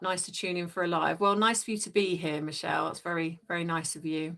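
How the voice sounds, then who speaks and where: A woman with a British accent talks at a very fast pace. Her medium pitch stays in a monotone, flat intonation. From England. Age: 50s. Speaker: life coach and live streamer. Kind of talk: casual live chat reading comments. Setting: livestream from home.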